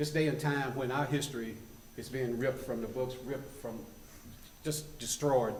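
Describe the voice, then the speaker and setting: With a western North Carolina accent, a man speaks at a moderate pace in a medium pitch, his intonation fairly even and his pauses long and frequent. Noticeable background noise and audible room echo fill the recording. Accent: Southern US (western North Carolina). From US South. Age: 70s. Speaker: public commenter. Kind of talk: public comment at town council meeting. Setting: town council meeting.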